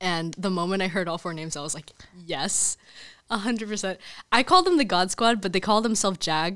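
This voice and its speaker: On a very clean recording with a silent background, a woman with an American accent speaks fairly quickly in a bright, sharp tone at medium pitch, with ordinary pitch variation and big swings in loudness. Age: young. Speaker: college student and campus ministry volunteer. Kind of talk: casual interview about faith. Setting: studio.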